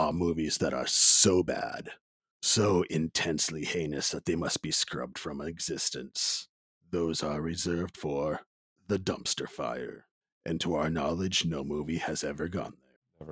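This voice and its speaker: A man puts on a character voice. It is very deep and low, with fairly even intonation at a moderate pace. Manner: dramatic announcer delivery.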